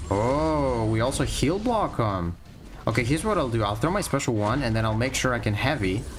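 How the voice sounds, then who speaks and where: Over background music and audible room echo, a man talks at a fairly quick pace with very even loudness. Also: medium pitch for a man, lively intonation. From Greece. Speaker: gaming streamer. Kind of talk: live stream gameplay commentary. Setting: live stream. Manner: casual, conversational.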